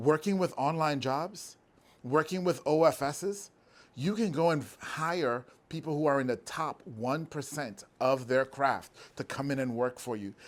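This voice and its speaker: A man with a fairly high voice speaks at a fairly slow pace. His tone is animated, and his pitch variation is ordinary. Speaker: business owner. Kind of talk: motivational talk. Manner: loud.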